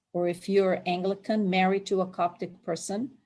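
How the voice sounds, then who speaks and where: The speaker is a woman in a Palestinian accent. Her pitch is medium. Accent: Palestinian Arab. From Palestine, Jerusalem. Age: 60s. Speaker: immigrant interviewee. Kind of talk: oral history interview.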